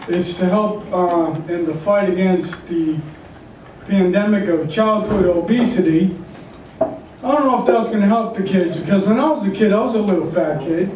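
A man speaks at a moderate pace in a high pitch with a slightly mellow tone. Room echo is audible. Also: ordinary pitch variation.

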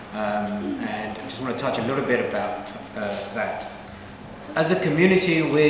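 Through noticeable background noise and audible room echo, a man talks at a moderate pace. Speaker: politician, election candidate. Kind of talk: political speech. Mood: earnest, persuasive. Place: hall. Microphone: camera far.

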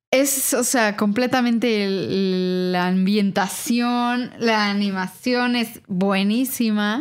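Hardly pausing at all, a woman talks at a very slow pace. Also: fairly high pitch for a woman, fairly even intonation, very even loudness. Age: 30s. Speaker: returning podcast guest. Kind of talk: casual chat.

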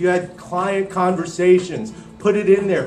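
Faint music plays behind a man speaking fairly slowly. Audible room echo surrounds his voice. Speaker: speaker. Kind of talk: motivational talk. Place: hall. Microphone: handheld.

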